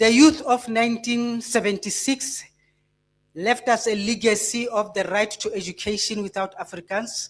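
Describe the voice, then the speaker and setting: A woman's somewhat breathy, fairly high voice at a moderate pace with ordinary pitch variation. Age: 60s. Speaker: blood donor advocate. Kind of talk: public speech.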